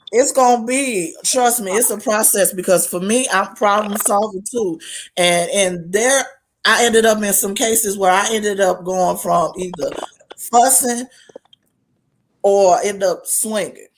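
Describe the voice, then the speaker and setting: A woman with a normal speaking voice, medium pitch, ordinary pitch variation, and a fairly slow pace. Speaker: talk show co-host. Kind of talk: casual chat.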